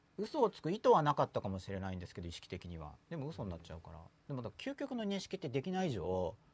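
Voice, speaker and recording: A man at medium pitch, very fast and somewhat breathy, with very wide pitch swings and big shifts in loudness. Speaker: podcast host. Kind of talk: casual chat. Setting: studio. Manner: noisy, lively.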